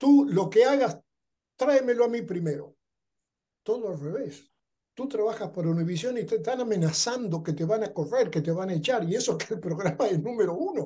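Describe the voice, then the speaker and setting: Lively in intonation, a man with a high pitch and a dark, mellow tone speaks at a fairly quick pace. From Argentina. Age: 70s. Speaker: television producer and writer. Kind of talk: interview conversation.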